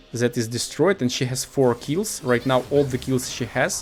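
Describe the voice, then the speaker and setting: Music plays in the background behind a man speaking at medium pitch. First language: not English. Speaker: gaming video commentator. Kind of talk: gameplay commentary. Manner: halting, many fillers.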